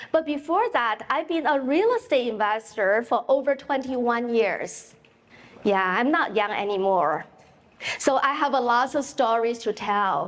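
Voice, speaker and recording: A woman with a Chinese accent, high-pitched and fairly slow, with lively intonation and very even loudness. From China. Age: 50s. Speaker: realtor and real estate investor. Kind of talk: keynote speech. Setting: stage with audience. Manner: animated.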